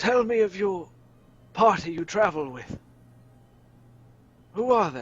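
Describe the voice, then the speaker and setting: Here a man does a put-on character voice pitched high. He goes at a fairly slow pace with long, frequent pauses. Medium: actual play. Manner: measured, solemn.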